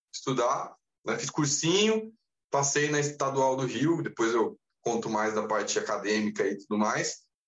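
A normal speaking voice from a man, fairly high in pitch, at a moderate pace. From Brazil, interior of São Paulo state. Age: 30s. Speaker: university professor and amateur triathlete. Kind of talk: casual interview chat.

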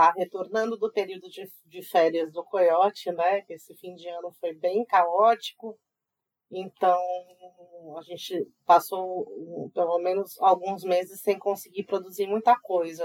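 A woman speaks at a fairly slow pace in a monotone, flat intonation, her pitch medium. The loudness swings widely, and the sound is dry and close with no echo. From Brazil, Mato Grosso do Sul. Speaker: magazine editor. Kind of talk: casual chat.

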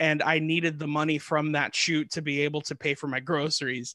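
A man speaks at a moderate pace in a fairly high, bright, sharp voice. His intonation stays monotone and flat, with a dry, close sound and no echo. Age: 30s. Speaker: actor, singer and stand-up comedian. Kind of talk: casual interview chat. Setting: remote call.

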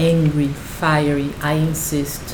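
A woman's very deep, low voice in monotone, flat intonation, over noticeable background noise. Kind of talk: poetry reading, spoken-word poem delivered in English then Portuguese. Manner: contemplative, measured, intimate.

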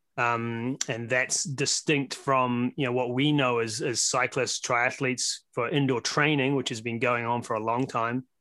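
A man with a New Zealand accent speaks at a fairly slow pace with hardly any pauses, using a medium pitch, a bright, sharp tone and monotone, flat intonation.

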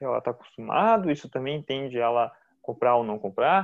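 A man with a southern Brazilian accent speaks at medium pitch with lively intonation. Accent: southern Brazilian (gaúcho) Portuguese. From Rio Grande do Sul, Brazil (Novo Hamburgo). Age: 30s. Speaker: food engineer and brewer. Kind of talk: casual interview.

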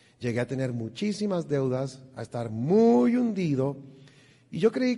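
A man's dark, mellow voice at a fairly slow pace, with very wide pitch swings. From Colombia, Bogotá. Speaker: financial stewardship speaker. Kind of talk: church seminar talk. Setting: church with audience.

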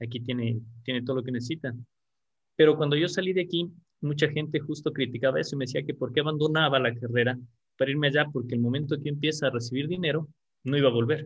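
Speaking very fast, a man with a fairly high, somewhat breathy voice keeps a fairly even intonation. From Ecuador, Quito. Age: 40s. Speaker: mechanical engineer and construction business owner. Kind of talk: interview.

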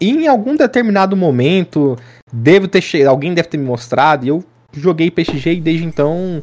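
An ordinary speaking voice from a man, fairly high in pitch with lively intonation, at a moderate pace. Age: 20s. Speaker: gaming content creator. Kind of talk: casual chat.

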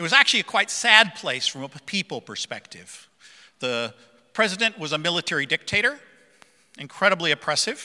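Bright and sharp in tone, a man talks at a fairly quick pace with a high pitch and very wide pitch swings, in a dry, close sound with no echo. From central Africa. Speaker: preacher. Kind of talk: sermon. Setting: church. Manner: informal, humorous.

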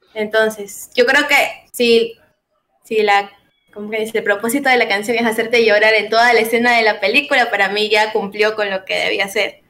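This woman has a fairly high pitch and a fairly quick pace. Her intonation stays monotone and flat. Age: 20s. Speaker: singer. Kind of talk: casual chat.

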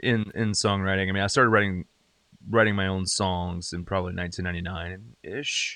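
A man's very deep, low voice with a bright, sharp tone and an American accent. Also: fairly even intonation, fairly quick pace. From upstate South Carolina (Greenville). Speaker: singer-songwriter and wrestling podcaster. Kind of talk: casual chat.

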